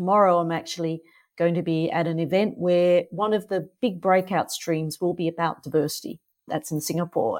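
A woman speaks with an Australian accent, fairly low in pitch and at a fairly quick pace. The recording is very clean, with a silent background. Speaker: author and non-executive director. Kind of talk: casual interview.

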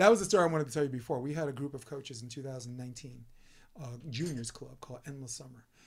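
A man speaks in a New York accent, somewhat breathy and fairly high-pitched. His pace is very fast, with ordinary pitch variation and big swings in loudness. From New York City (Brooklyn). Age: 50s. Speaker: podcast host and volleyball coach. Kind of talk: casual interview chat. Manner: animated.

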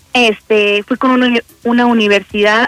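This woman talks at a fairly slow pace in a fairly high pitch, her intonation monotone and flat. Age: 20s. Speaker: lay missionary. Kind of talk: radio interview. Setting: phone call.

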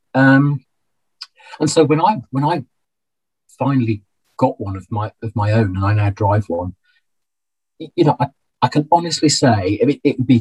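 With a Birmingham accent, a man speaks in a somewhat breathy voice with lively intonation, the sound dry and close with no echo. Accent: Birmingham (Brummie) English. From Birmingham, England. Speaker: financial planner and accountant. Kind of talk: interview conversation. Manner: halting, many repetitions.

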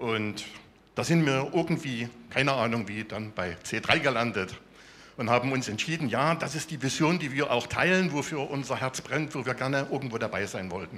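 Bright and sharp in tone, a man's medium-pitched voice moves at a moderate pace with lively intonation. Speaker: software developer, church member. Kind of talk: testimony.

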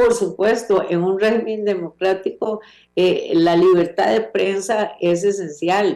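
At a very slow pace, a woman talks with medium pitch, fairly even intonation and very even loudness. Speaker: legislator and criminal lawyer. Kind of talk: interview. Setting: video call.

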